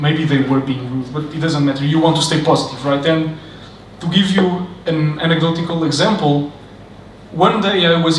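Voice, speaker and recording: A man with a non-native accent speaks with fairly even intonation, with audible room echo and noticeable background noise. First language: not English. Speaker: software developer, conference speaker. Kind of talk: conference talk. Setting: stage with audience.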